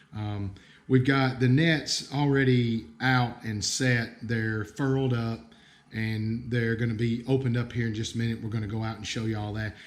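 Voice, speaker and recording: A man with an American accent talks at a moderate pace and medium pitch. His intonation is fairly even, and there is audible room echo. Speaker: bird bander, conservation staff. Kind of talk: livestream field tutorial. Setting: outdoor livestream, nature reserve. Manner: casual, hesitant with fillers.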